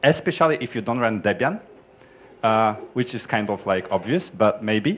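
The pace is moderate and the pitch varies in an ordinary way. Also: man. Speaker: software developer; audience member. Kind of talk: conference group introductions. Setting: conference room with microphone. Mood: friendly, smiling. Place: classroom. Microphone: handheld.

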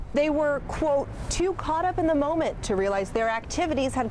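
Noticeable background noise sits behind the speech. A woman with a high voice talks at a moderate pace, with very wide pitch swings. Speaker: TV news reporter. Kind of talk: TV news report.

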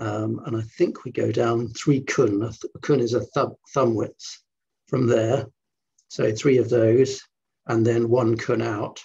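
A man speaks in a dark, mellow tone with vocal fry, his intonation flat and monotone, at a very slow pace broken by long, frequent pauses against a quiet background. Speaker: qigong teacher. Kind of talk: guided meditation. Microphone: video call.

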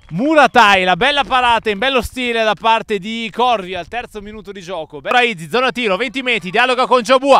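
In a raised, projected voice, a man sounds animated, with ordinary pitch variation and a dry sound with no echo. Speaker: sports commentator for youth football. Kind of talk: live sports commentary. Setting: live at the pitch in Collecchio. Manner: animated, rising excitement at goals and saves. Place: stadium.

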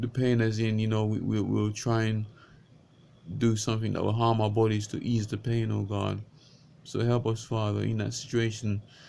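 A man's monotone, flat delivery over light background noise. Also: fairly low pitch for a man, moderate pace. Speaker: vlogger and lay preacher. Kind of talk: fervent prayer; unscripted religious talk. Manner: fervent, pleading, repetitive; halting, with repeated words. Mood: earnest, pleading. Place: home room. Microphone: webcam.

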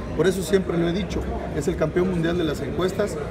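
A man speaks against loud background noise. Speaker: politician. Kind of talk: interview answer. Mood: indignant, critical. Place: hall. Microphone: phone near.

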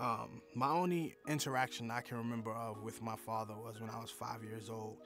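Over clear background music, a man talks at a moderate pace in a dry sound with no echo. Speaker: interviewee. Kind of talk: interview answer. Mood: candid, reflective. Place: studio.

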